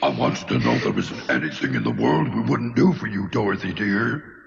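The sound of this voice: In a cartoonish character voice pitched fairly low, a man speaks at a fairly quick pace over clear background noise.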